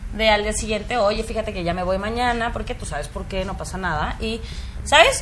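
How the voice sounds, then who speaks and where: A woman's fairly high voice at a fairly quick pace, with ordinary pitch variation, noticeable background noise and audible room echo. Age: 30s. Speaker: podcast co-host. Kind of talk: casual chat.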